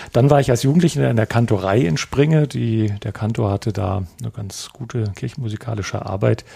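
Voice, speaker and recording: A man at medium pitch, with a dark, mellow, somewhat breathy tone, lively intonation, a fairly quick pace and hardly any pauses. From Lower Saxony, Germany. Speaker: pastor and church broadcasting representative. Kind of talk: casual discussion.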